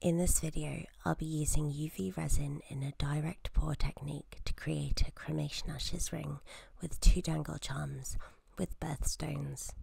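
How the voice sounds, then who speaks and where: A soft-spoken woman talks at a moderate pace. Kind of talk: instructional tutorial narration.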